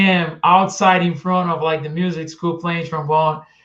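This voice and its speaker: A man with a Portuguese accent speaks in a high, monotone, flat voice. His pace is moderate and the background is quiet. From Brazil, Itu, São Paulo state. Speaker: trombonist. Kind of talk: interview.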